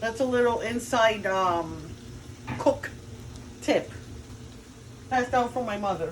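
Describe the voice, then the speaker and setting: A woman's fairly high voice at a fairly slow pace, with ordinary pitch variation, long and frequent pauses, audible room echo and noticeable background noise. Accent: Cuban. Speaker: cooking video host. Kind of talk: cooking tutorial. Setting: home kitchen. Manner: casual, chatty.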